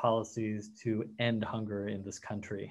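A man's voice comes through over a quiet background. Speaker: nonprofit policy executive. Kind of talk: formal introduction. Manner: formal. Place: home room. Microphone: webcam.

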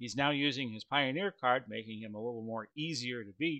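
A man at a moderate pace with lively intonation, against a quiet background. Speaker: tabletop wrestling game host. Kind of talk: commentary. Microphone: headset.

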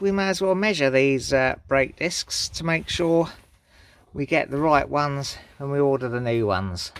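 Recorded dry with no echo, a man talks at a moderate pace with lively intonation. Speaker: amateur mechanic vlogger. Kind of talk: casual tutorial vlog chat. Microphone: phone near.

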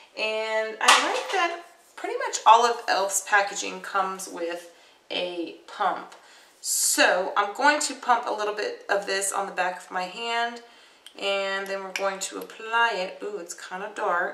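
A woman speaks at a fairly slow pace with ordinary pitch variation and big swings in loudness. Audible room echo and light background noise can be heard. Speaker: beauty vlogger. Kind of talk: casual makeup tutorial. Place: home room. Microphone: webcam.

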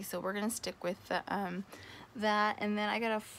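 The woman speaks fairly fast with fairly level intonation while light noise sits behind her. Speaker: vlogger. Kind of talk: casual vlog chat. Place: home room. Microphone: phone near.

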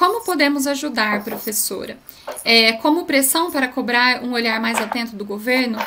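Over light background noise, a woman speaks at a moderate pace in a high pitch with ordinary pitch variation. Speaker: event moderator. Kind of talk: event moderation. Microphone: audio problems, some could not hear her; webcam.

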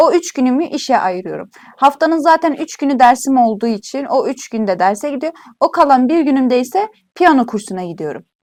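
Speaking at a fairly quick pace, a woman with a high pitch makes very wide pitch swings. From Turkey, Iğdır. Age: 20s. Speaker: university student. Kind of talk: casual interview.

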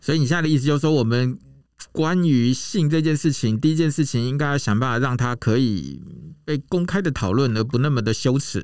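In a dry sound with no echo and a quiet background, a man talks at a fairly quick pace with very even loudness and ordinary pitch variation. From Taiwan. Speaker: podcast host. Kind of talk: scripted intro; casual interview. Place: booth. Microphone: studio mic.

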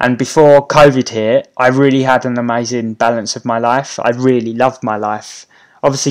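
Against a quiet background, a man with a British accent speaking at a moderate pace in a monotone, flat intonation. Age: 30s. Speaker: YouTuber and property investor; YouTuber. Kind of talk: live stream Q&A. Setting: YouTube live stream. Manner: casual, with many fillers. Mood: friendly, relaxed. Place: home room.

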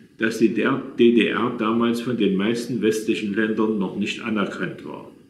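A man talks at a very slow pace amid audible room echo. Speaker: storyteller recalling his past. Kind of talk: reading personal memoir. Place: home room. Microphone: phone near.

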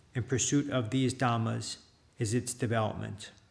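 A man talks at a moderate pace. His delivery is somewhat breathy, with a monotone, flat intonation. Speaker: Buddhist monk. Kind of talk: reading aloud. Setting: monastery.

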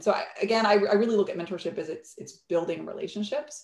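Over light background noise and audible room echo, a woman talks at a very fast pace. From Bolivia. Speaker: entrepreneur and startup CEO; guest. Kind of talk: interview on a virtual fireside chat. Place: home room. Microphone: video call.

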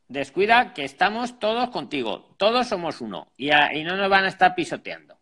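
A man projects a raised, high voice with a bright, sharp tone, very wide pitch swings and big swings in loudness. He barely pauses, and the background is quiet. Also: moderate pace. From Spain. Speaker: job advice channel host; live stream host. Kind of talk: live call-in consultation. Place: home room. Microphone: earbuds.

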